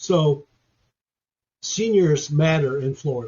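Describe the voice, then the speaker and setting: A man speaks with a fairly high pitch, a somewhat breathy quality and ordinary pitch variation. His pace is very slow. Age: 70s. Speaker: history professor. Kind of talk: interview.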